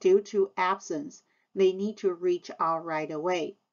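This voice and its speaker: A woman's very slow speech in a Taiwanese accent, with ordinary pitch variation. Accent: Taiwanese Mandarin-accented English. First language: Mandarin Chinese. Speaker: high school Chinese teacher. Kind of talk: scripted presentation to parents. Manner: formal.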